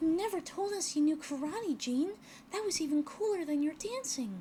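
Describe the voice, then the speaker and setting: A woman's put-on character voice, extremely high, at a moderate pace over clear background noise. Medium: actual play.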